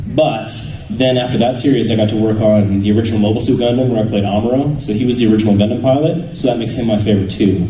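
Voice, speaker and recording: With an American accent, a man speaks at a very fast pace in a medium pitch and fairly even intonation, with audible room echo and noticeable background noise. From Canada. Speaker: voice actor. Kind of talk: convention panel Q&A, casual.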